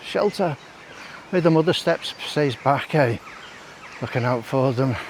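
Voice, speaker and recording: Noticeable background noise under speech at a fairly slow pace. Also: man. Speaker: walking vlogger. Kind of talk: casual walking vlog commentary. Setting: outdoors.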